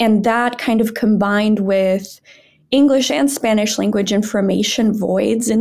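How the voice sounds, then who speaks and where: A woman speaks at a moderate pace, her pitch in the middle range. She has an unremarkable speaking voice. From Brazil, raised in northern Wisconsin. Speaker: nonprofit founder, disinformation researcher. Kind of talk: podcast interview.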